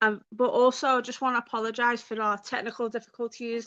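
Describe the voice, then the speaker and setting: This woman speaks fairly quickly with a Liverpool accent, her voice high-pitched with a bright, sharp tone. Her intonation is flat and monotone, over a quiet background. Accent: Scouse. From Liverpool, England. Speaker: YouTuber hosting a livestream. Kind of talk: casual livestream chat. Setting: live video stream.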